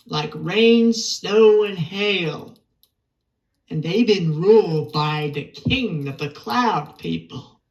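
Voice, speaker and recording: At a very slow pace, someone delivers a put-on character voice at a middle pitch. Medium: audio drama. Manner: polite, deferential.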